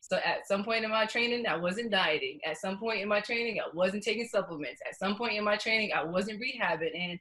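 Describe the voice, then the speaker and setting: Over noticeable background noise, a woman with an American accent speaks at a very fast pace. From New York. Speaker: professional runner. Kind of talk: interview.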